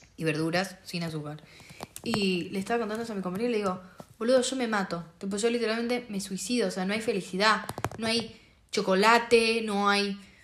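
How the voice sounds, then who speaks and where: With noticeable background noise and audible room echo, a woman talks at a fairly quick pace with ordinary pitch variation. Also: medium pitch for a woman. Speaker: podcast co-host. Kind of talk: casual chat.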